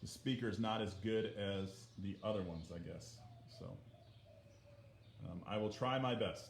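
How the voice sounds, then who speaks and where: A soft-spoken man talks at a fairly low pitch with fairly even intonation. Long, frequent pauses break up his speech amid audible room echo. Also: moderate pace. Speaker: art teacher. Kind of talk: livestream art lesson. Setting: livestream from iPad. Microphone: muffled iPad audio.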